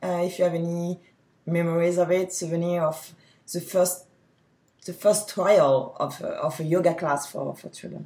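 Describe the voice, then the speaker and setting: Somewhat breathy, with a dark, mellow tone and fairly low pitch, a woman in a French accent speaks at a moderate pace with big swings in loudness. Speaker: podcast host. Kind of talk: interview.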